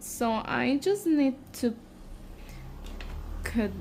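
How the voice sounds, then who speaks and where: With a non-native accent, a woman speaks in lively intonation. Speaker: nail care vlogger. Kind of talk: tutorial. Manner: halting, with fillers.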